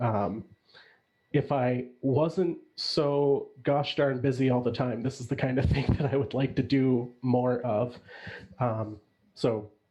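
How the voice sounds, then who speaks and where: A man with an American accent speaks at a fairly slow pace with medium pitch. His tone is dark and mellow, and his intonation fairly even. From US Midwest, Chicago. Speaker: judge on a mock pitch panel. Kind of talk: panel feedback on a pitch.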